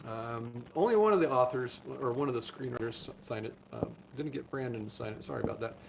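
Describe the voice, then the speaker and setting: A man talks at a very fast pace in a medium pitch. Noticeable background noise runs underneath. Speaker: doctor. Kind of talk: live stream chat.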